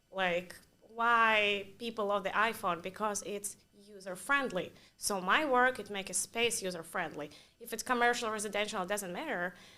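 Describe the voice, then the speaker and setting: A woman with a Russian accent, a bright, sharp tone, medium pitch, ordinary pitch variation and a moderate pace. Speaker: interior designer. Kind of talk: interview.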